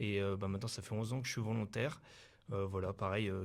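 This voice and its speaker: In a room with audible echo, a man speaks in a fairly low pitch with monotone, flat intonation. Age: 20s. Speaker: volunteer firefighter. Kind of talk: interview. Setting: mobile TV studio in town hall. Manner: halting, many fillers.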